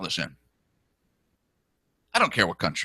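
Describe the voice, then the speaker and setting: This man's bright, sharp tone carries some vocal fry, recorded with a dry, close sound and no echo. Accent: American. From New Jersey. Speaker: political talk show host. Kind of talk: political talk show monologue. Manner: animated.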